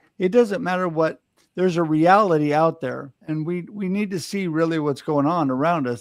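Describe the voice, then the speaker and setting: A normal speaking voice from a man, moderate in pace and fairly high in pitch, its pitch variation ordinary. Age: 60s. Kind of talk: panel discussion. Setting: live online panel show.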